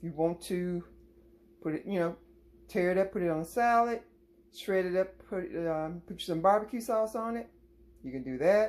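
A woman's fairly low-pitched voice, an ordinary speaking voice with ordinary pitch variation at a fairly quick pace. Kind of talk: tutorial. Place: kitchen. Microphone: phone near.

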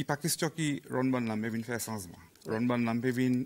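This man's speech shows ordinary pitch variation. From Seychelles. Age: 40s. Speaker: police officer; guest. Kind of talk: interview. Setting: studio. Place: studio.

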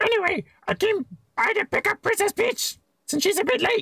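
This put-on character voice is squeaky and extremely high-pitched, delivered at a fairly quick pace. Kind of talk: reading game dialogue aloud in a playthrough. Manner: cartoonish imitation, admittedly poor.

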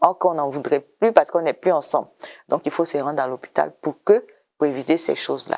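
A woman talks at a fairly quick pace. Her pitch is very deep and low, with ordinary variation. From Côte d'Ivoire. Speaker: government program director; interview guest. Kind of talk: TV interview. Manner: hesitant, repeats words. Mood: calm, explanatory. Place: studio. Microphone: lapel.

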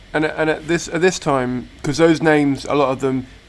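A British accent at a moderate pace, fairly even intonation, noticeable background noise. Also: man. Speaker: comedian and podcast host. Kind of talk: interview.

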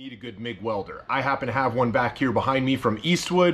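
The man's speech moves along at a moderate pace. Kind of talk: tutorial. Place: garage.

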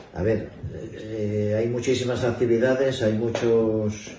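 A man with a medium-pitched voice talks at a fairly slow pace and fairly even intonation, with audible room echo and light background noise. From Asturias, Spain (Infiesto, Piloña); Asturias, Spain. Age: 60s. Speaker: retired bank employee, festival speaker; speaker. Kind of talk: interview. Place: hall. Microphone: camera far.

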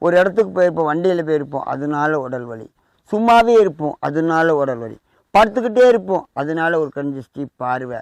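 Big swings in loudness and very wide pitch swings mark this man's fairly high-pitched voice. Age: 40s. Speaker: temple priest and spiritual remedy advisor. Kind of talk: instructional talk on spiritual remedies.

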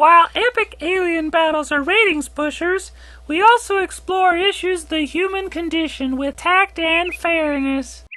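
This voice sits at an extremely high pitch and moves at a moderate pace. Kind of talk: TV host patter. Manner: chirpy, promotional.

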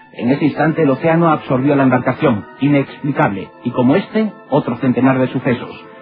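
A man speaks fairly quickly with hardly any pauses and very even loudness. Music plays in the background. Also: medium pitch for a man, ordinary pitch variation. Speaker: documentary narrator. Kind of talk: documentary narration.

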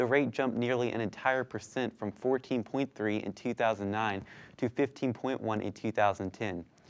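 A man talks with fairly even intonation. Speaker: news anchor. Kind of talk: news reading, scripted studio newscast. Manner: formal, steady, brisk anchor delivery. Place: studio.

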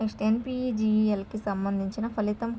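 A woman speaks at a moderate pace with little pitch movement. Her tone is slightly mellow.

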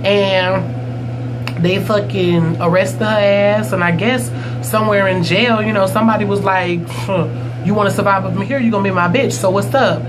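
Over loud background noise, a man talks at a moderate pace in a high pitch with fairly even intonation.

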